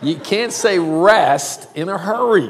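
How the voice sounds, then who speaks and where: In a Southern US accent, a man talks in an animated tone with lively intonation, amid audible room echo and noticeable background noise. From US South, South Carolina. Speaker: preacher. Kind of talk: sermon.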